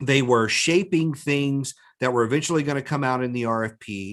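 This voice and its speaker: A man speaks in an unremarkable speaking voice, fairly high in pitch, with ordinary pitch variation. His pace is moderate and the background is quiet. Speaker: business coach. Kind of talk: webinar talk.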